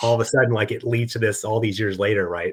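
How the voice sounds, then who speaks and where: Speaking at a very fast pace, a man sounds somewhat breathy in a very clean recording with a silent background. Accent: American. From Arizona. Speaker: YouTube card collecting host. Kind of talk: casual chat interview.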